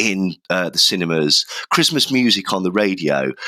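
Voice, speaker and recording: Recorded dry and close with no echo, a man with a British accent speaks in a very deep, low pitch and a bright, sharp tone. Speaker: podcast host. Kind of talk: casual chat.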